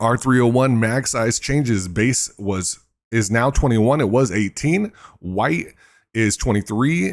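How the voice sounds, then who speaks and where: Over a very clean recording with a silent background, a man speaks at a medium pitch and a fairly slow pace. His loudness is very even, and his pitch varies in an ordinary way. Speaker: gaming news creator. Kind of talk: patch notes reading. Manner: soft, ASMR-style.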